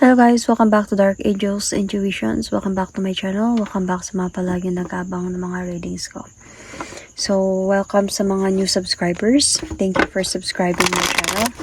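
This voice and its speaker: Against noticeable background noise, a woman speaks at medium pitch and a moderate pace with fairly even intonation. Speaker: tarot reader. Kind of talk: tarot reading. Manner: casual, hesitant with fillers.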